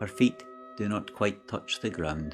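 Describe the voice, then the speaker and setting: A man speaks at a medium pitch in a calm, gentle tone. His pace is very slow, with music in the background. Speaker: storyteller. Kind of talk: sleep story. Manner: calm, slow, gentle.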